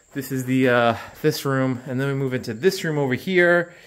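The pitch variation is ordinary as this man speaks. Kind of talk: casual vlog walkthrough. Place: garage. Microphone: phone near.

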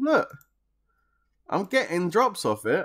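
Behind the man, the background stays quiet. He speaks at a moderate pace. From London area, England; England. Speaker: game streamer. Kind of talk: live gaming stream chat. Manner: casual, animated. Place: home room.

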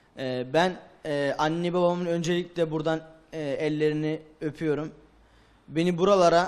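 A man speaks with a high pitch. His intonation is monotone and flat. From Turkey, Erzurum; Turkey. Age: young. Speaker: madrasa student; TV guest. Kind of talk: TV interview. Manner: halting. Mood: grateful, thanking parents. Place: studio. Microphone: handheld.

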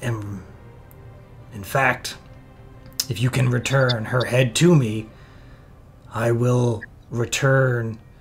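Over clear background music, a man uses a put-on character voice at a medium pitch, speaking at a very slow pace with fairly even intonation and long, frequent pauses. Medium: actual play. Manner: stern, guarded.

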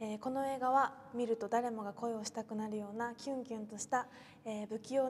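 A woman speaks at a fairly quick pace in a monotone, flat intonation, with light background noise behind her. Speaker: actress. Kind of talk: film promotion message. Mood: bright, smiling. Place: studio. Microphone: lapel.

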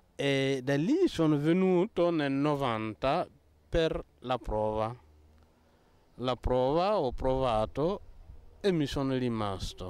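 A man with a fairly high pitch speaks at a very slow pace, his lively intonation broken by long, frequent pauses, in a dry sound with no echo. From Burkina Faso. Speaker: Benedictine monk. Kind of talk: interview. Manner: halting. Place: street. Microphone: handheld.

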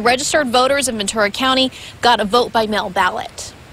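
Against noticeable background noise, a woman with a high pitch speaks at a very fast pace with ordinary pitch variation. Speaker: TV reporter. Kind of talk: live field report. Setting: outdoors.

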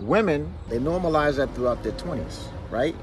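A man's lively intonation at a moderate pace, dry with no echo, over light background noise. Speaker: relationship commentator. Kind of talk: casual opinion monologue. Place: car. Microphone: phone near.

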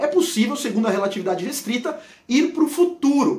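Room echo is audible as a man speaks at a moderate pace. His tone is animated, with very wide pitch swings. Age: 40s. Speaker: physics educator. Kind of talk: educational video explainer.

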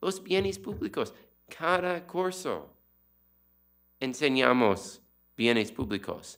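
With an English accent, the speaker goes at a very slow pace, pitch swinging very widely, with long, frequent pauses over a quiet background. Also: man, fairly high pitch for a man. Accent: non-native Spanish, English-speaking. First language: English (speaking Spanish). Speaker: economist and book author; presenter, panelist. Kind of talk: book presentation talk; lecture. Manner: halting with many fillers. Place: hall. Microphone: podium.

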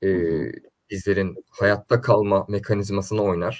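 Over a quiet background, a man speaks at a moderate pace in a somewhat breathy voice. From Istanbul, Turkey (Üsküdar); Turkey. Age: 20s. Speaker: neuromarketing and political consultant; guest. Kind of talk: interview. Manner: hesitant, many fillers. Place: home room.

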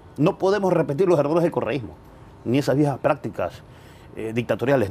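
Very fast and lively in intonation, a man speaks at a fairly high pitch with a dark, mellow tone. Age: 40s. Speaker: political commentator; interview guest. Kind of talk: interview. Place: garden. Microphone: lapel.

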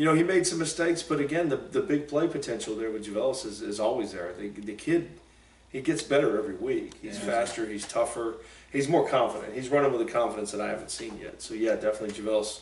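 Audible room echo surrounds the voice. The pace is very fast. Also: man. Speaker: football coach host. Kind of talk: sports talk show discussion. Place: studio. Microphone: camera far.

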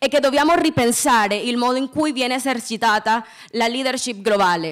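A high-pitched woman with a Spanish accent and lively intonation at a moderate pace, against a quiet background. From Colombia. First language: Spanish (speaking Italian). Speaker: student peace activist; speaker. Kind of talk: prepared speech. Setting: stage with audience. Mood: earnest, impassioned. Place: stage. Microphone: podium.

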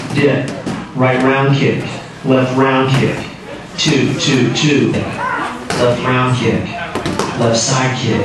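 With strong room echo and noticeable background noise, a man speaks at a very slow pace with long, frequent pauses. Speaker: kickboxing coach. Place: gym. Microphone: camera far.

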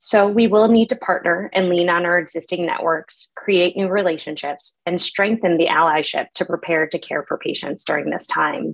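Against a quiet background, a woman in an ordinary speaking voice talks at a moderate pace with hardly any pauses, a fairly low pitch and ordinary pitch variation. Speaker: physician; presenter. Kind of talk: lecture. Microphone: webcam.

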